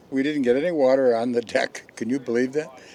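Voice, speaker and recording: A man of medium pitch at a moderate pace, with ordinary pitch variation and noticeable background noise. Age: 80s+. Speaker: classic yacht owner. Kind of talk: post-race interview.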